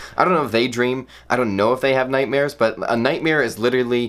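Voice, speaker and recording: Someone talks at a very fast pace in an animated tone over noticeable background noise. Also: man. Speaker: comedy vlogger. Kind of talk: comedic monologue.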